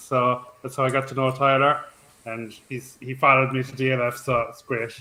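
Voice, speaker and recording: Medium pitch from a man at a moderate pace, over noticeable background noise. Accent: Cork. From Ireland, Cork. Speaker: fantasy football site social media staff. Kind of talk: casual chat.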